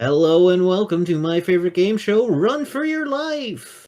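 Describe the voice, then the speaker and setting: In a put-on character voice at a middle pitch, the speaker goes at a moderate pace with very wide pitch swings. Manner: announcing.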